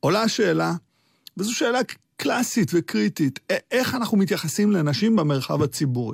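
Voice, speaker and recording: A man with a high pitch and very wide pitch swings speaks at a moderate pace with long, frequent pauses and very even loudness, in a dry, close sound with no echo on a very clean recording with a silent background. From Israel. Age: 50s. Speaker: political science professor. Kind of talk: radio interview.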